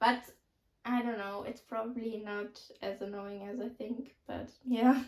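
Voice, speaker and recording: With a German accent, the speaker talks at a fairly slow pace in a monotone, flat intonation. The loudness swings widely. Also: woman, fairly high pitch for a woman. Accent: German accent, noticeable. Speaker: youtuber. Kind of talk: casual chat. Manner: casual, filler-heavy.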